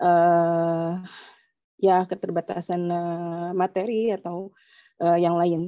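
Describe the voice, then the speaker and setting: Speech comes at a very slow pace in a monotone, flat intonation over a quiet background. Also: woman, fairly low pitch for a woman. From Indonesia, living in Netherlands. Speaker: participant asking question; audience member. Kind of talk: question to a teacher. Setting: online video call. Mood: polite, somewhat hesitant. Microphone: video call.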